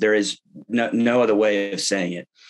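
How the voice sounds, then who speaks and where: Over a quiet background, a man with a Texan accent talks at a moderate pace. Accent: Texan American English. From Texas. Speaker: political candidate; candidate. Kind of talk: interview. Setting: online webinar. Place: home room. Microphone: webcam.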